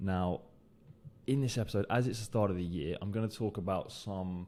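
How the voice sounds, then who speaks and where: On a very clean recording with a silent background, a man with a British accent speaks in a very deep, low pitch with a dark, mellow tone. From UK. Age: 20s. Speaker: recruiter and podcast host. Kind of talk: solo podcast monologue. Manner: hesitant, many fillers and repetitions.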